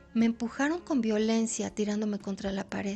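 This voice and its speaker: Over music in the background, a woman with a fairly high pitch speaks at a moderate pace with fairly even intonation. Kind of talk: audiobook short story reading.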